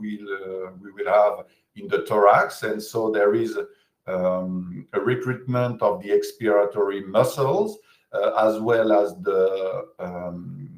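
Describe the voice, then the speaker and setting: A man with a French accent speaks at a very slow pace, with big swings in loudness. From France. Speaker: physiotherapist. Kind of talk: lecture. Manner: halting, many hesitations.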